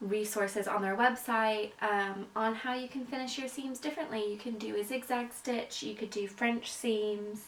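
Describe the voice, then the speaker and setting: With an American accent, a woman speaks in fairly even intonation against noticeable background noise. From US South (Florida and North Carolina). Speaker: sewing vlogger. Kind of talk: casual tutorial. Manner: casual with many filler words.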